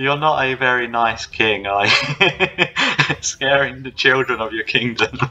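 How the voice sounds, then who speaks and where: The pace is fairly slow, with long, frequent pauses. The intonation stays fairly even. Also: man. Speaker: game designer and producer. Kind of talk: casual gameplay commentary. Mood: friendly, upbeat. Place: home room. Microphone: video call.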